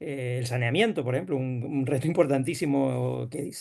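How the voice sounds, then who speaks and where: Fairly high in pitch, this man speaks at a fairly quick pace. His intonation stays fairly even. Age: 60s. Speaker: rural development official. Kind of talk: panel discussion. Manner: halting.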